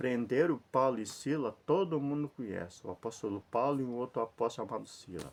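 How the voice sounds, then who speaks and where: A man with a plain, everyday voice speaks at a fairly quick pace and medium pitch, with hardly any pauses. His pitch varies in an ordinary way over a quiet background. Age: 60s. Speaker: lay preacher. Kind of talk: informal sermon to camera. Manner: repetitive, conversational.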